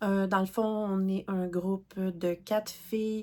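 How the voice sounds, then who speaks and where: A woman speaks very slowly with a Quebec accent. The recording is very clean, with a silent background. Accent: Québécois French. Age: 40s. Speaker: crafting YouTuber. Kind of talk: casual vlog talk. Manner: hesitant, many fillers.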